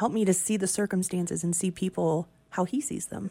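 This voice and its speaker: The voice is raspy, with ordinary pitch variation. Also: woman. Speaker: radio morning show co-host. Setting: radio studio.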